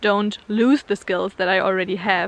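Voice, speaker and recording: A woman with a German accent, medium pitch and fairly even intonation. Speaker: vlogger. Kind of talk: casual vlog talk to camera. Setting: outdoors in the snow.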